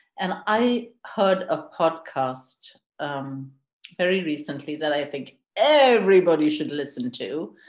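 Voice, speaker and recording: A woman with a very deep, low pitch speaks at a fairly slow pace with lively intonation. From India. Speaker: intercultural and leadership coach. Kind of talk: podcast interview. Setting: podcast recording.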